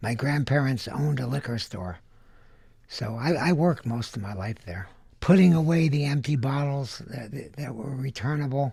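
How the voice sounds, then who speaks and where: Here a man speaks with an American accent and ordinary pitch variation. His tone is dark and mellow, and somewhat breathy. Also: medium pitch for a man, moderate pace. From Southern California (Van Nuys). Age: 70s. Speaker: candy inventor. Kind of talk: interview.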